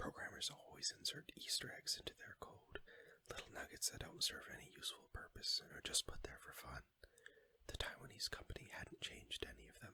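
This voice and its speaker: The speaker whispers at a fairly quick pace. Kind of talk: audiobook reading. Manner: whispered.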